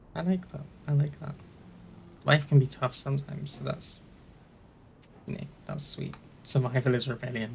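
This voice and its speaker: A man with a British accent speaks at a moderate pace and fairly high pitch, with vocal fry and fairly even intonation. His loudness swings widely, and long, frequent pauses recur. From UK. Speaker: gaming YouTuber. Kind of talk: let's play commentary. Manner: hesitant.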